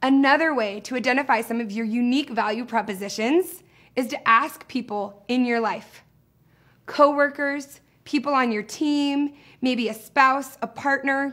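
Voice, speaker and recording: A woman speaks loudly with an animated tone and a high pitch, her pitch varying in an ordinary way, on a very clean recording with a silent background. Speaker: social media trainer and speaker. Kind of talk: training video. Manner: loud, high energy.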